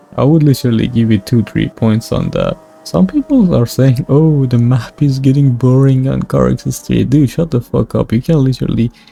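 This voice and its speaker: The man speaks at a moderate pace with ordinary pitch variation, noticeable background noise audible throughout. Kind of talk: game review commentary. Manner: loud.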